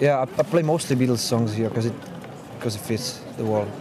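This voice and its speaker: A man speaks at a moderate pace with lively intonation. Noticeable background noise runs underneath. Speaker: street musician and student. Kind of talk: casual interview. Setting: outdoors. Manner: halting, many fillers.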